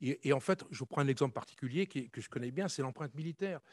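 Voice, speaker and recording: At a very fast pace, a man with a fairly high voice talks in a dry, close sound with no echo. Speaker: conference panelist, former army officer. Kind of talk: conference talk.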